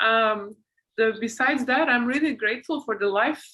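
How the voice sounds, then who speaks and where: Bright and sharp in tone, a woman with a non-native accent speaks at a fairly high pitch and a moderate pace with ordinary pitch variation. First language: not English. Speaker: podcast host and author. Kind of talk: casual interview chat.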